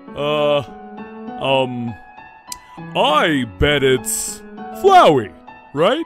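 In a put-on character voice with a fairly bright tone, the speaker goes very slowly with very wide pitch swings as faint music plays in the background. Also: man, fairly high pitch for a man.

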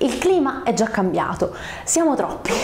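An animated, high-pitched woman's voice with audible room echo. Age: 30s. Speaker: YouTuber on screenwriting and storytelling; narrative communication vlogger. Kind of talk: vlog monologue. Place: home room. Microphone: lapel.

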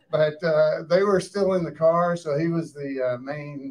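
Fairly high-pitched for a man, this voice carries a Southern US accent. He keeps a moderate pace. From US South. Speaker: cast member moderating audience questions. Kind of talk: live post-screening Q&A. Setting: stage with audience in a theater. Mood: relaxed, reminiscing. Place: hall.

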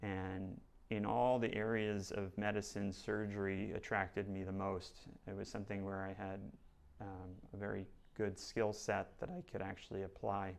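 The voice carries an American accent at a moderate pace. Its intonation is monotone and flat. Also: man, fairly low pitch for a man. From New Jersey. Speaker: plastic surgeon. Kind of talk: self-introduction video. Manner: hesitant with fillers. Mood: calm, earnest. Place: studio. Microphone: lapel.

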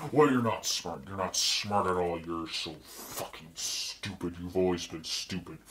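A man speaks at a moderate pace. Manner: furious, contemptuous, swearing.

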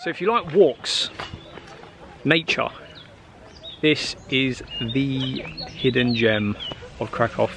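A man speaks in a dry recording with no echo and light background noise. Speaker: travel vlogger. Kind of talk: casual vlog chat. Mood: enthusiastic, playful. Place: waterside. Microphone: phone near.

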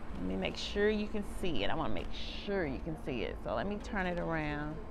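Over noticeable background noise, a woman talks at a moderate pace. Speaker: vlogger. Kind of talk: casual vlog chat. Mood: relaxed, cheerful. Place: cafe. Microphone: phone near.

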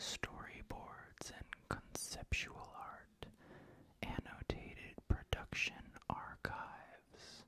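A man whispering at a very slow pace. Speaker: horror DVD collector. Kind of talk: reading DVD back covers. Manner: whispered. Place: home room. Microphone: studio mic.

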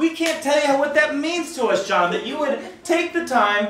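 There is audible room echo as a man speaks at a moderate pace in a fairly bright tone.

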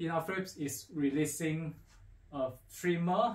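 There is audible room echo as a man speaks at a fairly high pitch. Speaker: audio equipment dealer presenter. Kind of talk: product unboxing talk to camera. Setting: faulty microphone. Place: studio.

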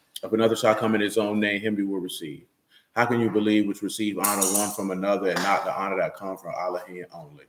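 A man rattles off his words very quickly while loud noise fills the background. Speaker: religious teacher. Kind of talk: scripture reading and sermon. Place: home room. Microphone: phone near.

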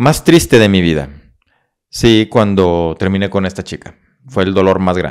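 A man with a northern Mexican accent speaks in a very deep, low pitch at a fairly slow pace. His tone is animated, and the background is quiet. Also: lively intonation. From Mexico, Coahuila (Monclova, Saltillo); Coahuila, Mexico. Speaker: motivational speaker and psychologist; motivational speaker. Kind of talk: interview, life story. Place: studio. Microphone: studio mic.

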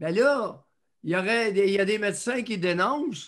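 A bright, sharp tone comes at a very slow pace against a quiet background. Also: man. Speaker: podcast co-host commentator. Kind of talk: commentary. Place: home room. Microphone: video call.

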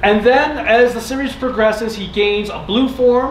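At a moderate pace and with ordinary pitch variation, the speech carries audible room echo over light background noise. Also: man. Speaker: panel host. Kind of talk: lecture. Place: hall. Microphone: camera far.

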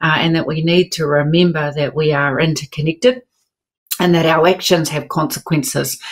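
Moderately paced speech with a New Zealand accent, ordinary pitch variation and a quiet background. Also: woman, very deep, low pitch for a woman. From New Zealand, South Island. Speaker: writer; panel writer. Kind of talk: panel discussion. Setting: video call. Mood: reflective, warm. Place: home room.

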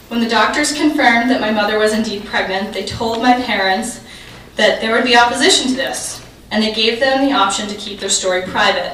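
The woman speaks at a fairly quick pace with a fairly high pitch. Audible room echo and light background noise surround her. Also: ordinary pitch variation. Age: 30s. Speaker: keynote speaker, journalist. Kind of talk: prepared keynote speech; audience Q&A answers. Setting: conference stage with audience. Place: hall.

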